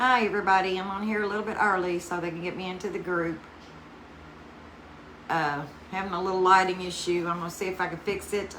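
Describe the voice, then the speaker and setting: A woman with a Southern US accent at medium pitch, fairly quick yet with long, frequent pauses, in a flat monotone over noticeable background noise. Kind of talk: casual craft livestream talk to camera.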